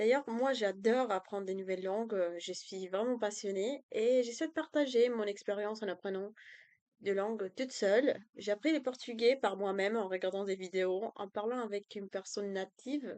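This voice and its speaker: Using a medium pitch with ordinary variation, a woman speaks at a moderate pace in a Spanish accent. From Colombia. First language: Spanish (speaking French). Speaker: language tutor and student. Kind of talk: self-introduction video. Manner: hesitant, many fillers.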